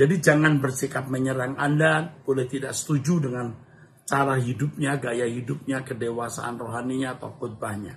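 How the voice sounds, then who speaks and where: A man speaks at a moderate pace with a medium pitch and ordinary pitch variation. His is a normal speaking voice. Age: 60s. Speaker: pastor. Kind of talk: Q&A answering read-out viewer questions in live stream. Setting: live stream.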